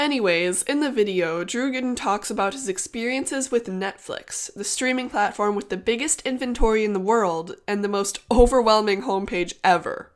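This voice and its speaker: A woman talks in a normal speaking voice at a fairly high pitch. Her pace is moderate, with ordinary pitch variation. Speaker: gaming YouTuber. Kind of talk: video essay narration.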